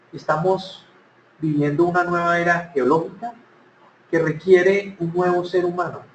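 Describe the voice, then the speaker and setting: At a fairly slow pace, a man with a high pitch and fairly even intonation speaks amid audible room echo. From Colombia, Cali. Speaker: speaker on workplace happiness. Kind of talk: conference talk.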